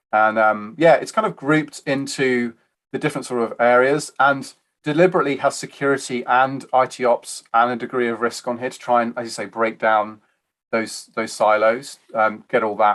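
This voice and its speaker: A man speaks at a medium pitch with a British accent. The background is quiet. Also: ordinary pitch variation, moderate pace. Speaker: IT architecture advisor. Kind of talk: interview. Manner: halting.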